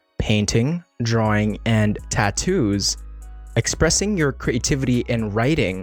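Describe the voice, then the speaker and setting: Over music in the background, a man speaks in an upbeat tone with ordinary pitch variation, the sound dry and close with no echo. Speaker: podcast host. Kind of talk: podcast intro.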